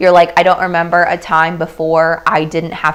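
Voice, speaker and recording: Noticeable background noise accompanies a woman with a fairly low pitch. She speaks at a fairly quick pace in an animated tone. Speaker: craft YouTuber. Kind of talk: livestream chat. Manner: loud when excited. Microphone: close microphone, slight room echo.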